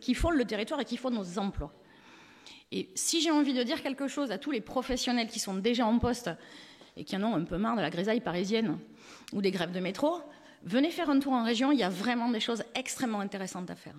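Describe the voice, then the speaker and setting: A woman speaks in a fairly high voice, her intonation lively. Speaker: cybersecurity professional, award speaker. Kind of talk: award speech.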